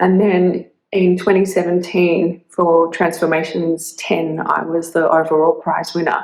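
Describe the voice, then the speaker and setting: A woman with an Australian accent speaks at a fairly slow pace, her pitch fairly low. Her intonation is monotone and flat, and her loudness is very even. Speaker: artist. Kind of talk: prerecorded video statement. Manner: hesitant, many fillers.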